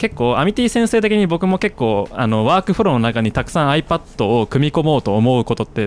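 A man talks at a fairly quick pace with hardly any pauses, his fairly high voice swinging very widely in pitch. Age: 20s. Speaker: podcast host and YouTuber. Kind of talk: casual chat.

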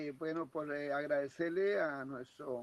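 Using an unremarkable speaking voice, a man talks at a fairly high pitch and a fairly slow pace with fairly even intonation. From Colombia. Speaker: ham radio operator caller. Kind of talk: formal greeting over radio net. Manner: formal.

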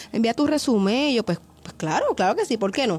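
A woman speaks with a Puerto Rican accent at a fairly high pitch. Her intonation is lively and her pace fairly quick. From Puerto Rico. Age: young. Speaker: interviewer and filmmaker. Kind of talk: casual interview. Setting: studio.

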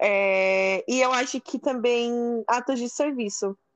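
Ordinary pitch variation in a dry, close sound with no echo, against a quiet background. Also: woman. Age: 20s. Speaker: podcast guest. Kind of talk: casual chat. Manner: animated.

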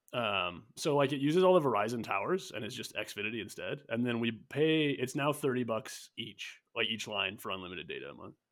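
A normal speaking voice with lively intonation and hardly any pauses. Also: man, medium pitch for a man. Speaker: podcast host. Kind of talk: casual chat.

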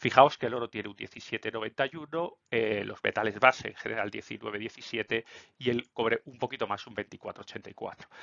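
A man talks fairly slowly, keeping a medium pitch that varies in an ordinary way. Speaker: finance YouTuber. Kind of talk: solo market commentary video. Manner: hesitant, many fillers.

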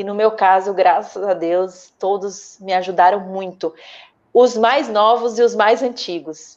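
This is a plain, everyday voice at a fairly slow pace. Its pitch varies in an ordinary way. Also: woman, medium pitch for a woman. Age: 30s. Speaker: actress. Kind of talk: casual interview chat.

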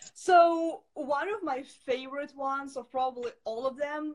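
A woman talks in a Russian accent. Her pitch is high. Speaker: entrepreneur. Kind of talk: interview.

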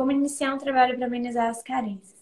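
The woman's voice sits at a high pitch. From Brazil, Espírito Santo. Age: 20s. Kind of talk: casual chat.

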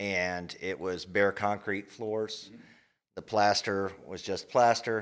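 A man with a fairly low pitch speaks in a monotone, flat intonation. The recording is very clean, with a silent background. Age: 40s. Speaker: yoga studio owner. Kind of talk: casual interview chat.

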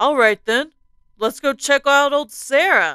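A woman speaks in a put-on character voice, high in pitch. Her pace is fairly slow.

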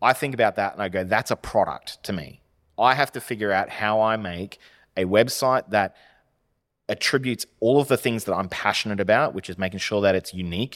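Speaking with an Australian accent, a man with a fairly low pitch talks at a fairly quick pace with ordinary pitch variation on a very clean recording with a silent background. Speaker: web design business owner. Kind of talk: casual chat.

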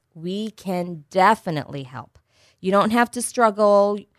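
A woman's ordinary speaking voice at a medium pitch and fairly slow pace, in dry, close sound with no echo. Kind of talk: radio ad pitch. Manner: salesy, upbeat, promotional; persuasive, reassuring, rehearsed.

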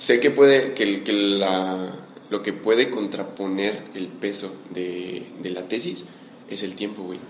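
A fairly low-pitched man at a very slow pace, with fairly even intonation and big swings in loudness, amid noticeable background noise and audible room echo. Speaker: podcast host. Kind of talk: casual chat. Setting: coffee shop.

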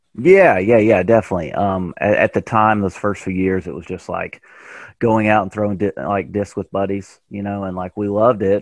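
A man at a fairly quick pace, with a Tennessee accent, fairly low pitch and fairly even intonation. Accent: Southern US (Tennessee). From Tennessee, US South. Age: 30s. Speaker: professional disc golfer. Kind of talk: casual interview chat.

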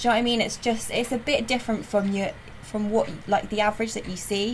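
A woman talks in a West Country accent at a fairly quick pace. Her pitch is fairly high and her intonation fairly even. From South West England, Weston-super-Mare. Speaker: graphic designer. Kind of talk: casual chat.

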